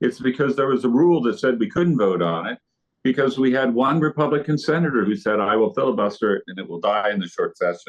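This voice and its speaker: This man talks very fast with an American accent and vocal fry. His medium-pitched voice makes very wide pitch swings. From US Midwest (Indiana). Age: 60s. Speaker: state legislator, retired nurse. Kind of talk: interview. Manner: animated.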